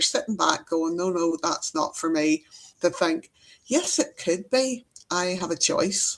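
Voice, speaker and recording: A woman with a Northern Irish accent speaks in a fairly low voice with ordinary pitch variation. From Northern Ireland. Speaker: EFT trainer and healer. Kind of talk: interview.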